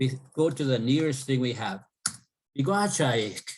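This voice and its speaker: A somewhat breathy male voice. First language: Cree. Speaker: professor. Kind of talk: interview.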